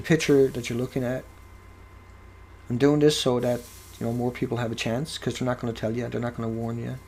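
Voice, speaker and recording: A man speaks at medium pitch and a very fast pace. His speech has long, frequent pauses. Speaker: video blogger on radiation. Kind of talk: monologue to camera. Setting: at home, cooking in background. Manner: animated, rhetorical questions.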